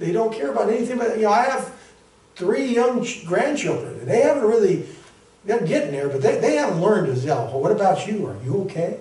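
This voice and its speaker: Through audible room echo, a high-pitched man speaks at a fairly quick pace, his pitch swinging very widely. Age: 60s. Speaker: pastor; preacher. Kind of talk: sermon. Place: church. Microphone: camera far.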